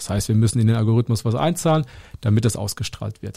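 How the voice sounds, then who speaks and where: A dark, mellow, somewhat breathy tone with ordinary pitch variation. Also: man. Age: 20s. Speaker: podcast co-host and content creator. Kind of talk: casual chat.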